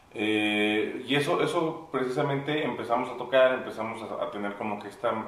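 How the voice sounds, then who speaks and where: A man talks over noticeable background noise. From Mexico City. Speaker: musician and producer. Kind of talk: casual interview chat. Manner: halting, many repeated words.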